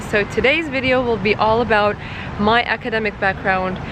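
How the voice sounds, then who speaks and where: With a slight Turkish accent, a woman speaks at a moderate pace and a fairly high pitch, using ordinary pitch variation over noticeable background noise. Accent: little Turkish. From Turkey. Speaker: marketing YouTuber. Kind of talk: personal vlog storytelling. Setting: outdoors in a playground.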